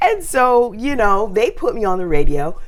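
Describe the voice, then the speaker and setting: Speech in an American accent moves at a fairly slow pace over noticeable background noise. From US South, Greensboro, North Carolina. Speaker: radio host and voice actress. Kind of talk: interview testimony.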